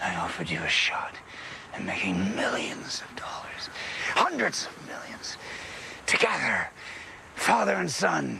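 Whispering at a fairly slow pace. Long, frequent pauses break up the speech. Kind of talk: scripted drama dialogue. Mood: smug, persuasive, faintly menacing. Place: garden.

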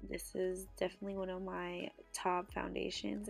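The talking goes at a fairly slow pace, with music in the background. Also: woman. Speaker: beauty vlogger. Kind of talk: casual makeup tutorial talk to camera.

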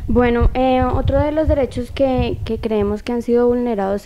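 Amid light background noise, a woman with a high voice talks at a moderate pace with fairly even intonation. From Colombia. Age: young. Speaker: youth council member. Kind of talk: TV interview. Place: studio. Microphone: handheld.

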